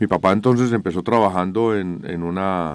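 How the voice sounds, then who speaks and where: A man speaks with a very deep, low pitch. Noticeable background noise runs underneath. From Colombia, Manizales (Caldas). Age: 60s. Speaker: company co-founder, civil engineer. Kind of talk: radio interview.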